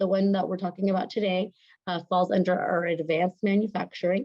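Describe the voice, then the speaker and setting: A woman talks at a fairly quick pace with a medium pitch. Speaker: college outreach representative. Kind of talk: virtual presentation. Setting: video call. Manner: fast; animated.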